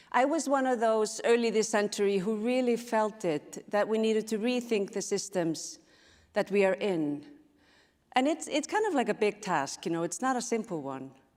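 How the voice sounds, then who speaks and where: A woman with an Icelandic accent, lively intonation and a moderate pace. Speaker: speaker on intuition and systems change. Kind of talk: conference talk.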